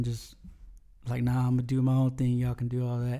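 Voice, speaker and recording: A man speaks with an American accent. His voice sits at a medium pitch. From South Texas. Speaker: musician. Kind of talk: casual interview.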